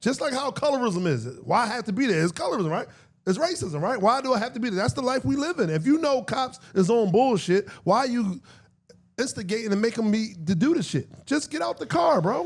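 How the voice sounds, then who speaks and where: A loud man with a high pitch talks at a fairly quick pace, his pitch swinging very widely. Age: 40s. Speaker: podcast co-host. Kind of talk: casual chat. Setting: studio.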